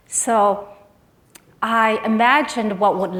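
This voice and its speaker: A woman speaks with a Chinese accent. Audible room echo surrounds her voice. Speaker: nonprofit executive. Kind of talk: conference speech. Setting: stage with audience. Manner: halting.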